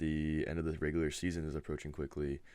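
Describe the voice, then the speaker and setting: A soft-spoken man with a very deep, low pitch speaks in a monotone, flat way. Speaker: gaming league host. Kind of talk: casual video update. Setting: webcam at home.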